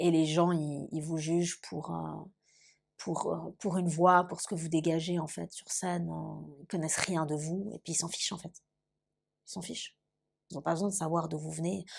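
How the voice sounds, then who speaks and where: A woman talks at a fairly low pitch and moderate pace, with long, frequent pauses. Her intonation is monotone and flat, on a very clean recording with a silent background. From Lausanne, Switzerland. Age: late 20s. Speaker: composer and singer. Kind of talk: interview answer, personal testimony. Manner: hesitant, conversational.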